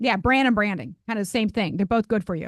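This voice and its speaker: A woman with an American accent speaks at a fairly high pitch with ordinary pitch variation. The sound is dry and close with no echo, over a quiet background. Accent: sounds Midwestern to locals. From Ohio, US Midwest. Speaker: singer and music educator. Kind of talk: casual interview chat.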